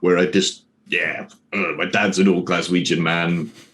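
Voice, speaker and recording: A man with a Scottish accent at a fairly slow pace. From Scotland. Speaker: streamer and prison officer on leave. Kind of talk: casual interview.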